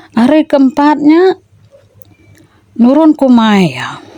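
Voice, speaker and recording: A woman's very slow speech, dry and close with no echo, against noticeable background noise. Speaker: storyteller. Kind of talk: storytelling; casual chat.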